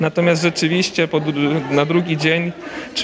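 A man talks at a moderate pace in monotone, flat intonation. Noticeable background noise is audible. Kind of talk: interview answer. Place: hall. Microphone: handheld.

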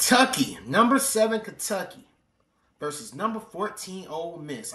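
At a moderate pace, a man speaks in a raised, projected voice with an animated tone, and the room echo is audible. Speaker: reaction video creator. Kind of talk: casual reaction commentary. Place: home room. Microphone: webcam.

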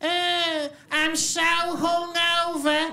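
A put-on character voice, female-sounding and gruff, sits at an extremely high pitch for a woman. The intonation is monotone and flat.

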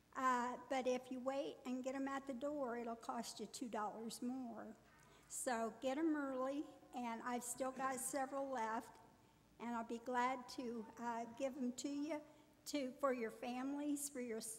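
A woman's high-pitched voice in a monotone, flat intonation, at a fairly slow pace. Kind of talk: church announcement. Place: church. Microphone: podium.

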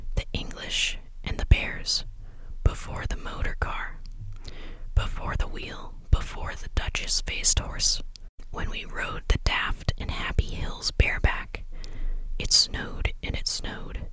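Whispering at a fairly slow pace with long, frequent pauses amid noticeable background noise. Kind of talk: bedtime story reading, ASMR. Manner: soft-spoken, relaxing.

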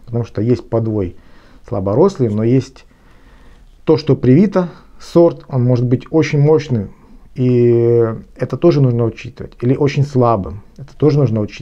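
A dark, mellow voice at a moderate pace with ordinary pitch variation. Long, frequent pauses break up the speech against a quiet background. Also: man, medium pitch for a man. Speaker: gardener and garden blogger. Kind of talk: lecture-style tutorial on gardening. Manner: formal, explanatory, with some hesitations. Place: home room. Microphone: phone near.

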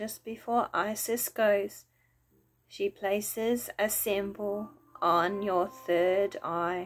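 Soft-spoken and calm, a woman talks at a very slow pace in a soothing tone with fairly even intonation. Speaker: wellness video host and meditation guide. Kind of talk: guided meditation. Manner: slow, soothing, gentle; calm, soft-spoken. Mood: calm, soothing. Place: home room. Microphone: phone near.

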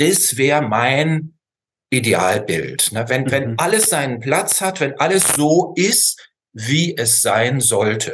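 A man talks with lively intonation. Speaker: remote guest. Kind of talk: interview answer. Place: home room. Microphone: video call.

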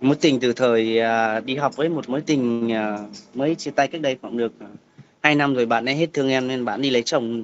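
A man at a moderate pace with fairly even intonation over light background noise. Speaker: guest. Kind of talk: interview answer. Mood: candid, slightly shy. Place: home room. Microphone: video call.

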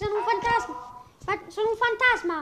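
An extremely high-pitched, put-on character voice at a moderate pace. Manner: spooky, dark.

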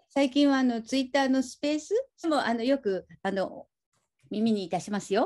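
Over a quiet background, a woman speaks in a high voice. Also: lively intonation, moderate pace. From Aichi, Japan. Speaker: film podcast host. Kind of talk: interview chat. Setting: video call. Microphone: video call.

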